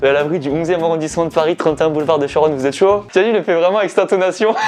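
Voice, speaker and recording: Over music in the background, a man speaks at a very fast pace with a high pitch and ordinary pitch variation. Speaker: YouTuber. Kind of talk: casual vlog with stand-up rehearsal. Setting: cellar. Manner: low energy.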